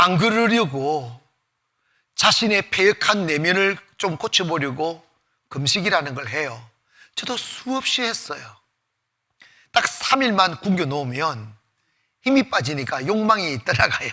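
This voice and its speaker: A man speaks with a high pitch in a bright, sharp tone, using very wide pitch swings. His pace is very slow, with long, frequent pauses. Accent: Gyeongsang. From Gyeongsang province, South Korea. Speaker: pastor. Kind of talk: sermon. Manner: casual, half informal speech.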